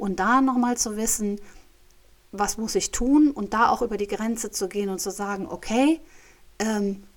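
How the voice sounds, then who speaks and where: A woman at a moderate pace with ordinary pitch variation on a very clean recording with a silent background. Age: 50s. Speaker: podcast host and coach. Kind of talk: solo monologue podcast. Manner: hesitant, many fillers.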